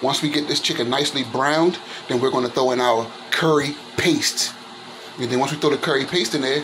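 At a fairly quick pace, a man talks with fairly even intonation over noticeable background noise. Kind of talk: casual cooking tutorial. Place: kitchen. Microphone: phone near.

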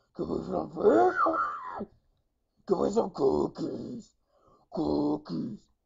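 Putting on a raspy character voice, a man talks at a very slow pace with long, frequent pauses. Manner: screaming, playful.

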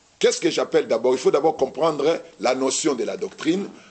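Here a man talks at a fairly high pitch. His voice moves in very wide pitch swings. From DR Congo, Kinshasa. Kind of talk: religious teaching in TV studio Q&A. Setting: TV studio with audience. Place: studio.

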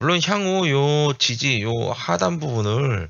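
A man at a medium pitch with very wide pitch swings and a very slow pace. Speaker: stock market YouTuber. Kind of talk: chart analysis commentary.

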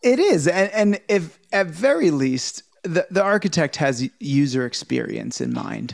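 High-pitched, lively intonation from a man, fairly slow yet with hardly any pauses, over a quiet background. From North America. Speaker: podcast host. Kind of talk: casual chat. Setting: video call. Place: home room. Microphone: video call.

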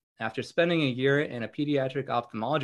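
Against a quiet background, a man's speech moves at a moderate pace with ordinary pitch variation. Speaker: podcast host. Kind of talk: reading a guest introduction. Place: home room. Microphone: video call.

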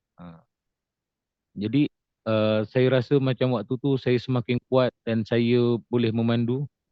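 Ordinary pitch variation at a fairly slow pace. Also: man. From Johor, Malaysia. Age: 40s. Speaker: stroke survivor and farmer. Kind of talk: testimony. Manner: halting, many fillers.

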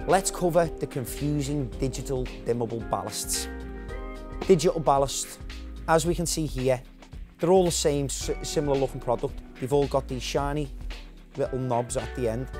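A man talks at a moderate pace, leaving long, frequent pauses, with clear music heard in the background. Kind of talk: product demonstration. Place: shop.

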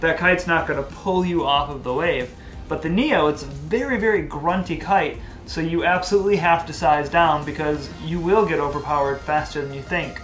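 A man speaks in a high voice with ordinary pitch variation, faint music playing in the background. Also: fairly quick pace. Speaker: kite reviewer. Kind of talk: product review. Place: garage.

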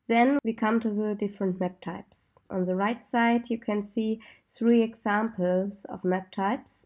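A woman speaks with a German accent in a dark, mellow tone. Her intonation is fairly even, on a very clean recording with a silent background. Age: 20s. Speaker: software developer. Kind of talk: tutorial.

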